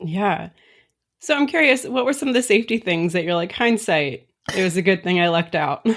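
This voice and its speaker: Very wide pitch swings at a fairly quick pace, on a very clean recording with a silent background. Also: woman, medium pitch for a woman. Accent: American. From Florida. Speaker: podcast host. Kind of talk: podcast interview.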